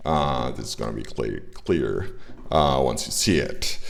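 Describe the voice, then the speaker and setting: A man at a fairly slow pace with ordinary pitch variation, amid audible room echo. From Italy. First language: Italian. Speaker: indie game developer and streamer. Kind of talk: livestream tutorial. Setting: livestream. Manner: halting, many filler words.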